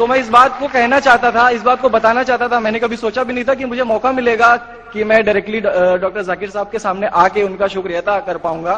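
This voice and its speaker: A man speaks at an extremely high pitch with ordinary pitch variation and a moderate pace, with hardly any pauses. Noticeable background noise is audible behind him. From eastern Uttar Pradesh, Kanpur. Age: 20s. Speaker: convert giving testimony. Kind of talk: testimony. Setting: conference hall with audience.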